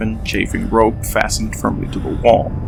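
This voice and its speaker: Background music under a man's moderately paced speech. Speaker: content creator. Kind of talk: game lore narration.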